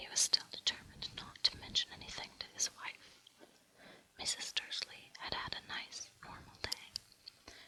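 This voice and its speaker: The whispering moves fairly slowly. Background noise is noticeable throughout. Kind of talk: whispered audiobook-style reading of a novel; ASMR relaxation reading. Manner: whispered, soft.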